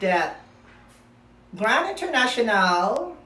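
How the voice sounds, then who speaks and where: The voice carries a Filipino accent, with audible room echo. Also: woman. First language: Filipino language. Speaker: pageant commentary vlogger. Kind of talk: opinion vlog. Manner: halting.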